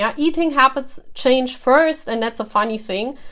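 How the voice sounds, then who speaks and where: Moderate pace from a woman with a high pitch and a non-native accent. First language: not English. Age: 40s. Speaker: tarot reader. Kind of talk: casual talk to camera. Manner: halting.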